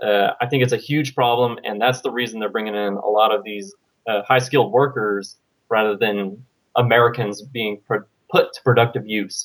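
A man speaks with a normal speaking voice at a moderate pace. His pitch is medium and his intonation fairly even. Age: 20s. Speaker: military veteran, caller. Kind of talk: call-in conversation.

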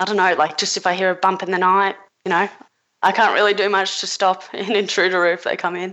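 Speaking very fast with an Australian accent, a woman keeps a medium pitch and a monotone, flat intonation. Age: 20s. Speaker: caller. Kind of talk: call-in advice conversation.

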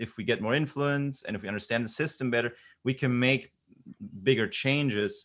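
An ordinary speaking voice belongs to this man, who speaks at a medium pitch with ordinary pitch variation. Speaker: economics commentator. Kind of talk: debate.

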